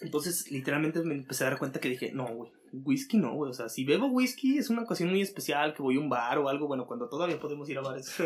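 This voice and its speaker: Very fast and with hardly any pauses, a man talks in a fairly high voice with lively intonation. Noticeable background noise is present. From Mexico, Aguascalientes. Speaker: cook. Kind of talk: casual chat. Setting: in person, same room.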